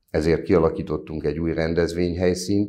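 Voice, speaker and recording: A man is speaking. His voice sits very deep and low. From Solymár, Hungary; Hungary. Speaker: mayor, council candidate. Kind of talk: candidate interview. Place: studio. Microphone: lapel.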